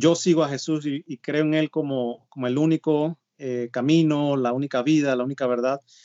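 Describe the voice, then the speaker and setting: A man speaks at a moderate pace in a fairly high voice, his intonation fairly even. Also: hardly any pauses. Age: 30s. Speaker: missionary, sports ministry coordinator. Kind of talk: interview conversation. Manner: hesitant, many filler sounds.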